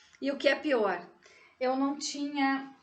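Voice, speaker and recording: A woman speaks at a very slow pace in a high-pitched voice, with audible room echo around her. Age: 60s. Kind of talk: personal testimony.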